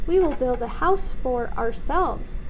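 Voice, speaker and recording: A woman's put-on character voice at a moderate pace, under loud background noise. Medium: read story.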